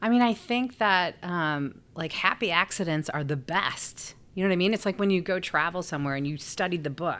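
With a Chicago accent and hardly any pauses, a woman speaks at a moderate pace and fairly low pitch with ordinary pitch variation, in a very clean recording with a silent background. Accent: Chicago-area American. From Chicago area (Skokie). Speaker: nonprofit CEO. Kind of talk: interview.

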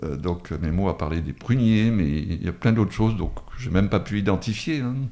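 In a plain, everyday voice, a man speaks at a moderate pace with fairly low pitch and lively intonation. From Drôme, France. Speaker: retired author. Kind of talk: radio interview. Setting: radio studio.

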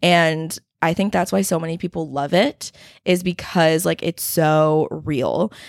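Speaking at a fairly slow pace in a plain, everyday voice, a woman with an American accent has a fairly low pitch, and the sound is dry and close with no echo. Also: ordinary pitch variation. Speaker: podcast host. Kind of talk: casual chat.

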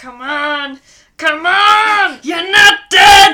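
A put-on character voice, croaky and at an extremely high pitch. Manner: urgent, pleading.

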